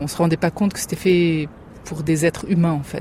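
A woman's fairly low voice with fairly even intonation against noticeable background noise. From France, Germany and Lebanon. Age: young. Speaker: school founder and parent. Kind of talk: interview testimony.

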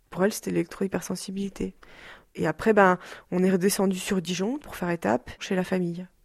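In a plain, everyday voice, the speaker talks at a fairly quick pace with ordinary pitch variation, on a very clean recording with a silent background. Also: woman, medium pitch for a woman. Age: 20s. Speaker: daughter of an electro-sensitive woman. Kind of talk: interview testimony. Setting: rural hut below a mountain cave.

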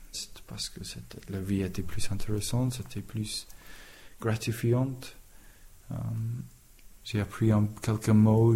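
Speaking at a very slow pace with an English accent, this voice has a dark, mellow tone that is somewhat breathy, with big swings in loudness and long, frequent pauses. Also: man. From England. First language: English (speaking French). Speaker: carpenter. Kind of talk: testimony. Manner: halting.

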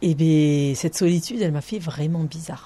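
A plain, everyday voice that moves at a fairly quick pace. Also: woman. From Ariège, southern France. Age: 30s. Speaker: author recalling a rural childhood. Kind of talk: testimony.

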